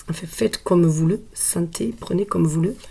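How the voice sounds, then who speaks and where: Soft-spoken, a woman talks at a moderate pace with a fairly low pitch. Vocal fry runs through her voice. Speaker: tarot card reader. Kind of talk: tarot reading. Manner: hesitant, with frequent fillers.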